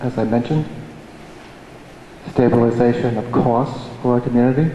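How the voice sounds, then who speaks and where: Over noticeable background noise, a man with an American accent speaks at a fairly quick pace and medium pitch. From upstate New York (Amenia). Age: 50s. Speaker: local resident, public commenter. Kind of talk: public hearing comment. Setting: town planning board hearing.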